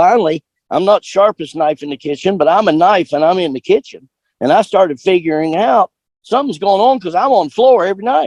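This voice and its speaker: The delivery is fairly quick with lively intonation, and the sound is dry and close with no echo. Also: man, high pitch for a man. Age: 70s. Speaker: cowboy poet and country singer. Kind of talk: interview. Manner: halting with fillers.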